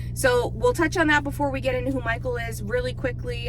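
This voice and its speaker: A woman at a very fast pace, with audible room echo and noticeable background noise. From Newfoundland, Canada (east coast of the island). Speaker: farm vlogger. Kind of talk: casual chat. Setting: in a car.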